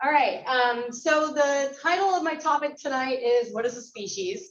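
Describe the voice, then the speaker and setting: A loud, animated woman with a high pitch and an American accent, at a moderate pace with ordinary pitch variation. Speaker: biology instructor and guest speaker. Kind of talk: lecture.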